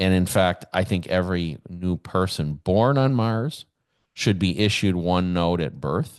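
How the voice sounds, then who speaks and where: Against a quiet background, a man with an American accent and a very deep, low pitch speaks at a fairly slow pace with very even loudness. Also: ordinary pitch variation. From US Midwest, Kenosha, Wisconsin. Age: 60s. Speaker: podcast host. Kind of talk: solo podcast monologue. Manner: halting, with fillers and repetitions.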